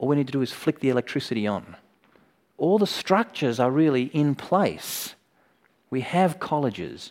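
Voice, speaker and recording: Very clean and with a silent background, the recording features a man with an Australian accent. He speaks at a moderate pace with a fairly high pitch and lively intonation. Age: 40s. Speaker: preacher. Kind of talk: sermon. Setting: conference.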